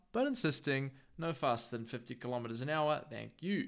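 The speaker has a New Zealand accent and lively intonation at a moderate pace. The recording is very clean, with a silent background. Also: man. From New Zealand, Northland. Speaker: podcast host. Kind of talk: scripted narration. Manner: casual.

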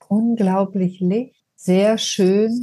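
A woman's medium-pitched voice with a dark, mellow tone, fairly even intonation and a very slow pace. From southern Germany (Ulm, Swabia). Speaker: trauma therapist and end-of-life companion. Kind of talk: personal testimony in interview.

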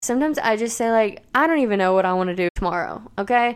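A woman's ordinary speaking voice, fairly high in pitch, at a fairly quick pace with lively intonation. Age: 20s. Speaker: podcast host. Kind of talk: solo podcast monologue.

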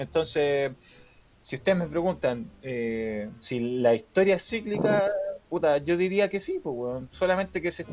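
A man's high-pitched voice with lively intonation at a moderate pace, amid noticeable background noise. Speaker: podcast co-host. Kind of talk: casual chat. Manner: halting, repeats words.

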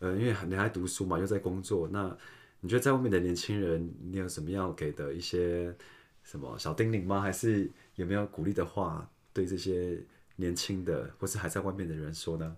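The very clean recording has a silent background. A man's very deep, low voice holds fairly even intonation. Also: moderate pace. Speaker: podcast host. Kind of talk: casual chat.

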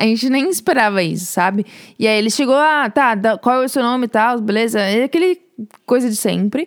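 Her voice is an unremarkable speaking voice, fairly high in pitch for a woman. She moves at a fairly quick pace with lively intonation. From Brazil, São Paulo. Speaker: podcast co-host, student. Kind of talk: casual chat, storytelling.

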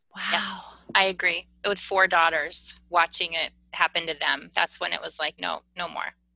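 Speaking at a moderate pace, a woman with a fairly low pitch, a bright, sharp tone and vocal fry holds a monotone, flat intonation in a dry, close sound with no echo. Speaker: podcast host and healing coach. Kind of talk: casual chat.

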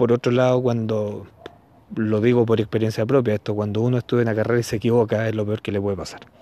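A man's medium-pitched, monotone, flat delivery at a fairly quick pace, broken by long, frequent pauses, with noticeable background noise. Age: 40s. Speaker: podcaster. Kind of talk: casual monologue commentary. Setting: outdoors, walking in the street. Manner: halting, with many fillers.

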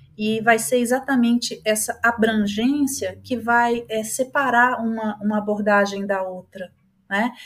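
A woman's voice is somewhat breathy and fairly high in pitch. She talks at a fairly slow pace with fairly even intonation. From Brazil. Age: 50s. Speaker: psychologist and holistic therapist. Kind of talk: podcast interview.

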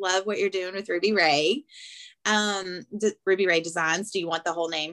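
Here is a woman with a strong Southern US accent. The recording is very clean, with a silent background. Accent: Southern US, thick. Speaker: podcast host. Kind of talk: casual chat.

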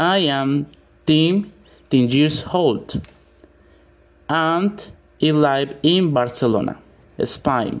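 A man with a Spanish accent speaks at a very slow pace with long, frequent pauses, his fairly high pitch showing ordinary variation and his loudness very even. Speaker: English learner. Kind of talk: reading aloud. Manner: halting.

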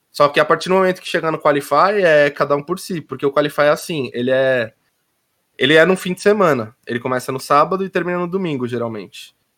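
A man's fairly high voice at a very fast pace. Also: ordinary pitch variation, very clean recording, silent background. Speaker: esports pro player. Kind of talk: casual chat. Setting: live stream.

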